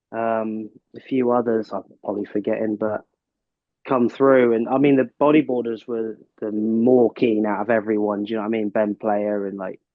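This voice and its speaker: In a Cornish accent, a man talks at a moderate pace in a medium pitch with monotone, flat intonation. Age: 40s. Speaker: big wave surfer. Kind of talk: casual chat. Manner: halting.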